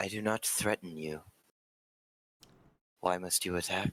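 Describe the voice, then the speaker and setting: A man uses a put-on character voice with very deep, low pitch. The sound is dry and close, with no echo. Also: moderate pace. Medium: actual play. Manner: calm, formal.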